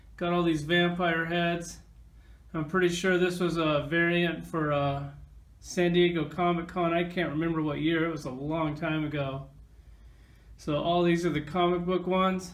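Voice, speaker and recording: A high-pitched man talks at a moderate pace in a monotone, flat intonation. His voice carries audible room echo. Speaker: toy collector reviewer. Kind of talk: casual toy review. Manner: casual, conversational.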